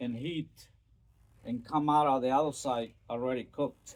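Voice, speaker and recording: A man with a Spanish accent, fairly high in pitch, fairly slow, with fairly even intonation. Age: 60s. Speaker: storyteller vlogger. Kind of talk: casual storytelling monologue. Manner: hesitant, many fillers.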